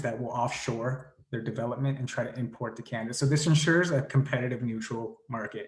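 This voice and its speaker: The man speaks at a medium pitch, his voice somewhat breathy. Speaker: climate advocacy group leader. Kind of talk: presentation. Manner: fast.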